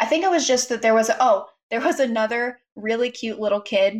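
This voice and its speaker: At a fairly quick pace, a woman with an ordinary speaking voice talks at a fairly high pitch with lively intonation. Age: 20s. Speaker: podcast co-host. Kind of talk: casual chat. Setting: remote call into live stream.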